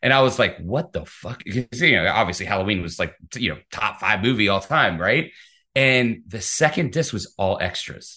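A man with an American accent speaks in a bright, sharp tone. His intonation is lively, and the background is quiet. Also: medium pitch for a man. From US Midwest, Piqua, Ohio. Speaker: film distribution executive. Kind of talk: casual chat. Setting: video call. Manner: fast.

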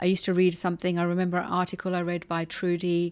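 A woman with a London accent, fairly low-pitched and fairly quick, on a very clean recording with a silent background. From London, England. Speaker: hypnotherapist and kinesiologist. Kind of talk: interview.

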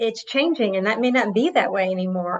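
A woman has an unremarkable speaking voice, fairly high in pitch, with ordinary pitch variation. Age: 50s. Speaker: HR executive. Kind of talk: interview.

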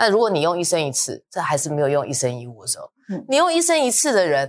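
Speaking at a fairly quick pace, a woman uses a fairly low pitch with very wide swings. The recording is very clean with a silent background, dry and close with no echo. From Taiwan, New Taipei (Luzhou). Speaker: real estate research director. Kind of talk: casual discussion podcast.

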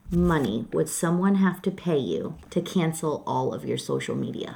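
The speaker has a Michigan accent. The pace is fairly slow. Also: woman. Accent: Michigan US Midwest. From Detroit, Michigan. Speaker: graphic designer. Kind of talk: casual chat. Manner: loud; blunt.

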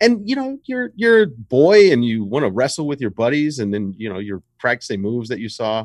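Against a quiet background, a man with an American accent speaks at a moderate pace and medium pitch, his pitch swinging very widely. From US South, Richmond, Virginia. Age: 30s. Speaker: basketball writer and former pro wrestler. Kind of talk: casual chat.

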